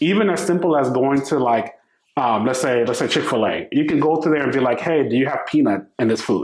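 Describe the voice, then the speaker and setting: Keeping his loudness very even, a man talks at a fairly quick pace in a fairly high pitch with ordinary pitch variation. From US Northeast, the Bronx, New York. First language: Spanish. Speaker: startup founder. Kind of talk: podcast interview. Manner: casual, conversational.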